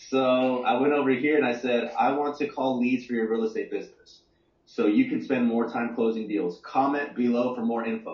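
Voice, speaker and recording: A man in a Texan accent speaks at a moderate pace. His medium-pitched voice keeps fairly even intonation. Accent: Texan American. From Texas, Dallas-Fort Worth area. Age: 30s. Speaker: entrepreneur, marketing guest. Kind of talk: interview, business explanation.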